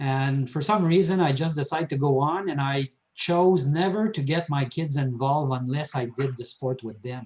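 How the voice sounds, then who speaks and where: A man speaks at a moderate pace with a fairly high pitch, a somewhat breathy quality, ordinary pitch variation and hardly any pauses. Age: 70s. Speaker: triathlete. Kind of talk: casual chat.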